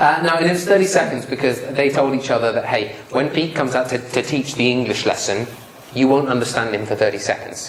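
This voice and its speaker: Through noticeable background noise and audible room echo, a man talks at a fairly quick pace, medium in pitch with ordinary pitch variation. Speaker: public speaking trainer. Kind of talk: lecture. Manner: animated.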